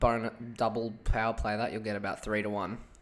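A man speaks at a fairly quick pace. His intonation stays monotone and flat. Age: young. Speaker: sports betting podcaster. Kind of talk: casual solo podcast on sports tips. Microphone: mic sensitivity turned right down, mouth very close.

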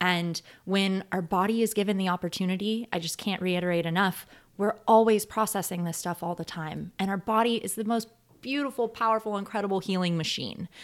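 A woman with an American accent and an unremarkable speaking voice talks at a fairly quick pace and medium pitch with fairly even intonation, in a very clean recording with a silent background. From US South, rural north Georgia. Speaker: colon hydrotherapist. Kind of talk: interview.

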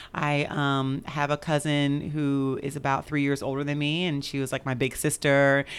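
A woman with an American accent and a very deep, low voice. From Kansas City, Missouri, then Oakland from age 13. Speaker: physician and clinic medical director. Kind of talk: interview. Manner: hesitant, many fillers.

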